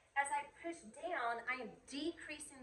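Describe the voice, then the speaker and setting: An American woman talks in a raised, projected voice with ordinary pitch variation. The room echo is audible. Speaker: high school chemistry teacher. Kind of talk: recorded video lecture. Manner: fast.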